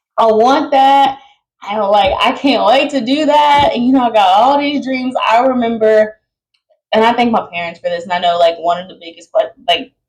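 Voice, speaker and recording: A woman in an unremarkable speaking voice, fairly high in pitch, with lively intonation, big swings in loudness and a moderate pace. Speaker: podcast host. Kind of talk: casual monologue.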